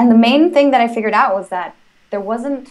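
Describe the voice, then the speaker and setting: A woman with a Spanish accent, at a fairly quick pace. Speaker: language-learning entrepreneur. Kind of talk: interview. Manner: hesitant, many fillers.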